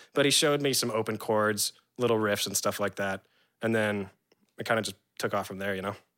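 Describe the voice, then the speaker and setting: A man's fairly low, bright, sharp voice with fairly even intonation at a fairly quick pace, with long, frequent pauses, in a very clean recording with a silent background. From San Diego, California. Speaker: classical guitarist. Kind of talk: casual chat.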